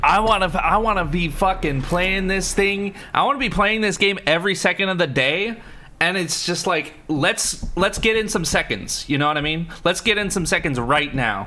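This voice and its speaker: His voice is raised and projected, with a high pitch. A man speaks with ordinary pitch variation. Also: moderate pace. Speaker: gaming streamer. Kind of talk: live gameplay stream chat. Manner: casual, rambling with fillers.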